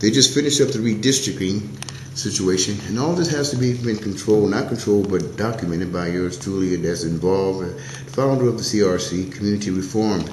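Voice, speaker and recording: Over noticeable background noise and audible room echo, a man speaks very fast with lively intonation in a fairly low pitch. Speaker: community activist and video show host. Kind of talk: casual monologue to camera. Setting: City Hall.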